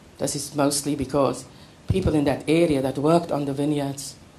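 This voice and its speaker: A woman with a very deep, low pitch speaks at a moderate pace with fairly even intonation, with audible room echo and noticeable background noise. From South Africa, Western Cape. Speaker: poet. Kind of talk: poetry reading and lecture.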